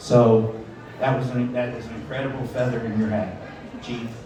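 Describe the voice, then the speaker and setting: A man with an American accent and medium pitch at a moderate pace, with audible room echo and noticeable background noise. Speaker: master of ceremonies. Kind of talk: speech at a retirement party.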